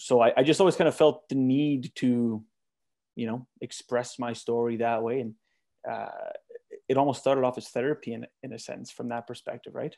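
In a Canadian prairie accent, a man speaks at a moderate pace and medium pitch with a dark, mellow tone, fairly even intonation and big swings in loudness, on a very clean recording with a silent background. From Manitoba, Canada. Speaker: singer-songwriter. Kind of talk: casual interview chat.

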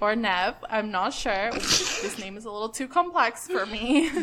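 A woman's fairly high-pitched, animated voice at a fairly slow pace, with noticeable background noise. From Canada. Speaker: podcast co-host. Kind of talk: casual chat. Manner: animated, laughing often.

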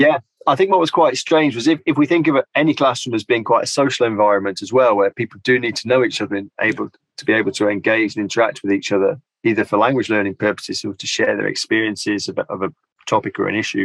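A man with a British accent speaks at a very fast pace in a dry, close sound with no echo. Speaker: linguistics lecturer. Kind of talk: interview. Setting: video call.

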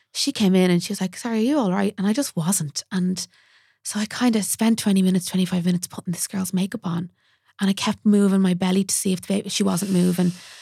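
Very fast and somewhat breathy, a woman with an Irish accent speaks in a dark, mellow tone, in a dry, close sound with no echo. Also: medium pitch for a woman, very clean recording, silent background. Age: 30s. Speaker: makeup artist. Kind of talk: casual chat. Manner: animated.

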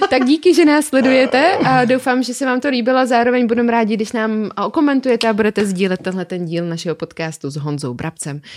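Barely pausing, a woman with a fairly high pitch races along at a very fast pace with very wide pitch swings. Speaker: podcast host, motorcycle riding instructor. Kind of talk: casual interview.

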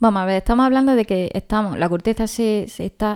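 A woman speaks at a fairly quick pace with fairly even intonation and a medium pitch, her tone dark and mellow, in a very clean recording with a silent background and a dry, close sound with no echo. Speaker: podcast co-host. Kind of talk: casual chat.

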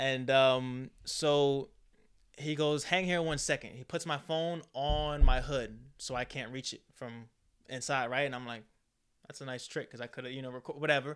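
With an American accent, a man has an ordinary speaking voice at medium pitch and fairly even intonation. His loudness swings widely, and the recording is very clean with a silent background. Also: moderate pace. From New York (Queens, Dutchess County). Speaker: podcast guest. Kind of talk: casual chat.

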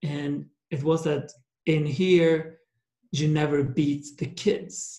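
A man's somewhat breathy, dark, mellow voice at a fairly high pitch, with fairly even intonation, a very slow pace and long, frequent pauses. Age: 30s. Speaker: entrepreneur. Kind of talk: interview.

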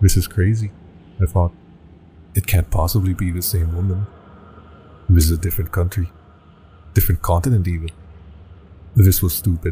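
A man with a very deep, low pitch speaks in a dramatic, dark, mellow tone that is somewhat breathy, his intonation fairly even. His pace is fairly quick, broken by long, frequent pauses. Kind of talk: creepypasta horror narration, first-person scripted storytelling. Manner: tense, dramatic, rising dread toward the end.

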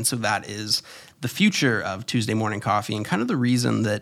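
With an American accent, a man at medium pitch talks at a fairly quick pace with vocal fry. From Florida, US. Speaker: podcaster and YouTuber. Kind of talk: casual solo monologue. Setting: home studio.

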